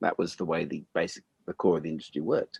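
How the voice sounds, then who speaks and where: A man with an Australian accent talks at a very fast pace with ordinary pitch variation, in a dry, close sound with no echo. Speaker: podcast host and musician. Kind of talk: casual chat.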